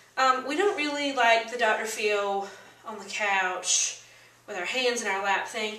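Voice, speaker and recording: Speaking at a moderate pace with an American accent, a woman with a fairly high pitch is heard over noticeable background noise and audible room echo. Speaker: vlogger. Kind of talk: motivational vlog talk. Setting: standing on a chair indoors. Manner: animated.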